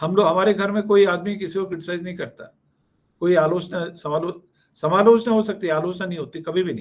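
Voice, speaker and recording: At a moderate pace, a high-pitched man talks with fairly even intonation and big swings in loudness. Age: 60s. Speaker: company executive, alumnus speaker. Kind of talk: motivational alumni talk. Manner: frequent fillers and code-switching.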